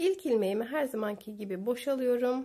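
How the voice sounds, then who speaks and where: Very slow and dark, mellow in tone, a woman speaks with ordinary pitch variation. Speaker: knitting tutorial creator. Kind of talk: tutorial.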